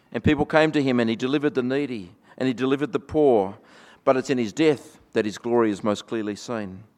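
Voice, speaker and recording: A man with an Australian accent talks at a very fast pace against a quiet background. His voice sits at a medium pitch with ordinary pitch variation. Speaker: pastor. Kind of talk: sermon. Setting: church. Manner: reflective, conversational, light humor.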